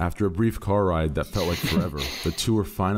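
The delivery is plain reading aloud, and its pitch varies in an ordinary way.

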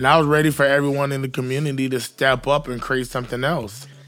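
With an American accent, a man speaks very fast at medium pitch in a monotone, flat intonation. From Queens, New York and Jacksonville, Florida. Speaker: podcast co-host, music event promoter. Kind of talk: casual chat.

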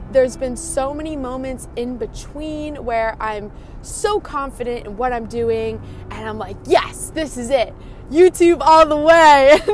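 Warm and enthusiastic in tone, the speaker goes at a fairly slow pace with ordinary pitch variation. Loudness swings widely, and there is noticeable background noise. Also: woman, high pitch for a woman. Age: 20s. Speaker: spiritual self-development podcaster. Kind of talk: solo motivational monologue. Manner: warm, enthusiastic.

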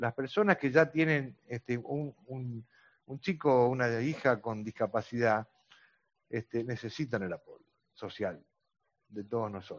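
A man in a Rioplatense accent, with big swings in loudness, ordinary pitch variation and long, frequent pauses. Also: medium pitch for a man, fairly slow pace. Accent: Argentine Spanish (rioplatense, voseo). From Argentina. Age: 60s. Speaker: grandparent advocate for cystic fibrosis patients. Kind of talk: interview. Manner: halting, many fillers (este, eh).

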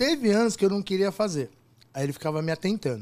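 His pitch ranges very widely. This man speaks at a very fast pace. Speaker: party DJ. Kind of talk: casual chat. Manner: animated.

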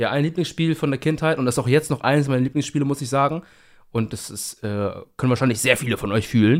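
Over a silent background in a very clean recording, a man talks at a fairly quick pace with a fairly high pitch and ordinary pitch variation. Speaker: podcast co-host, university student. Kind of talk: casual chat.

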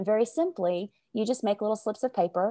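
A woman with a Southern US accent speaks at a fairly quick pace and medium pitch, her tone dark and mellow with ordinary pitch variation, in a dry, close sound on a very clean recording with a silent background. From US South, Arkansas. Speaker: sales coach. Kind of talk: casual interview.

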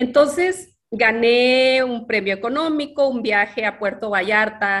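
An ordinary speaking voice from a woman, fairly high in pitch, fairly slow, with ordinary pitch variation. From northern Mexico, Ciudad Juárez. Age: 50s. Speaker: interviewee sharing life story. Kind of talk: personal testimony.

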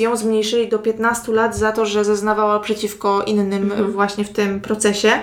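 Music plays in the background as a woman speaks at a moderate pace. Her pitch is fairly high and her intonation monotone and flat. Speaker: true crime podcast co-host. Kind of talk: crime storytelling.

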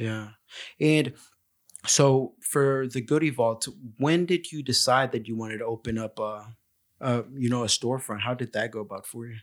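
This is an unremarkable speaking voice at a moderate pace. The intonation stays fairly even. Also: man, medium pitch for a man. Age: 20s. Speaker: podcast host. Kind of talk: casual interview chat.

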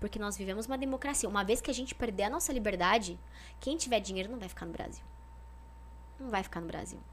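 A woman talks at a very fast pace. Her pauses are long and frequent. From São Paulo state interior (São José do Rio Preto). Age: 30s. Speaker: politician. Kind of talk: casual interview chat.

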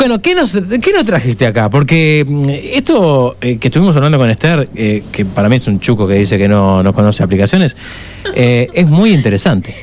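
Over noticeable background noise, a man with a Uruguayan accent talks at a fairly quick pace in a medium pitch, his loudness very even while his pitch swings very widely. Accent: Uruguayan Spanish (rioplatense). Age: 60s. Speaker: radio host. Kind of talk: casual chat. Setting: studio.

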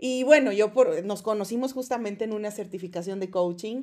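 Fairly quick in pace, a woman speaks with a dark, mellow tone, fairly high pitch and ordinary pitch variation. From Mexico, Chihuahua. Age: 30s. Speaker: podcast co-host, doctor. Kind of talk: casual chat. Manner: halting, many repetitions.

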